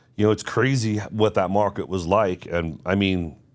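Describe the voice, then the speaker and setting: On a very clean recording with a silent background, a man with a New York accent speaks at a fairly low pitch. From New York City. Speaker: real estate agent. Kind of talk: casual podcast chat.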